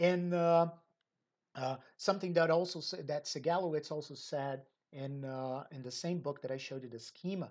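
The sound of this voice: At a moderate pace, the voice has a slightly mellow tone and ordinary pitch variation. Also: woman, low pitch for a woman.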